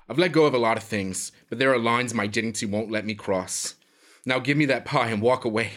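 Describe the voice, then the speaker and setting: A man talks at a fairly quick pace with medium pitch and ordinary pitch variation. It is an ordinary speaking voice. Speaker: villainous prisoner character. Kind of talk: scripted comedic dialogue. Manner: haughty, disdainful, snobbish.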